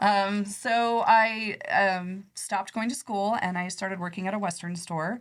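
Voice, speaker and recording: Speaking with a Midwestern American accent, a woman of medium pitch talks at a fairly slow pace with hardly any pauses. Her intonation is fairly even, and the recording is very clean with a silent background. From Nebraska, US Midwest. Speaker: credit union executive. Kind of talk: podcast interview. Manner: soft-spoken.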